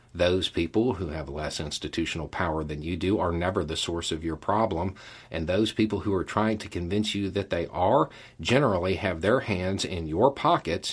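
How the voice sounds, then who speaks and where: A man with a Southern US accent talks at a moderate pace in a very deep, low, somewhat breathy voice. The recording is very clean, with a silent background. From US Deep South. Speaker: YouTube channel host. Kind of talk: monologue to camera, casual commentary. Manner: casual, conversational.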